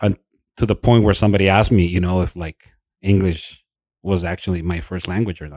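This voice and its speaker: A man with a Spanish accent speaks in a very deep, low pitch. The recording is very clean, with a silent background and a dry, close sound with no echo. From Mexico, Nogales border. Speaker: podcast co-host. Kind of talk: casual chat.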